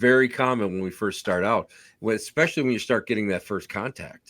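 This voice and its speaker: Over a silent background in a very clean recording, a man with an unremarkable speaking voice talks at a fairly quick pace and medium pitch, with ordinary pitch variation. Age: 60s. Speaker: podcast host, paranormal investigator. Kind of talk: casual interview chat.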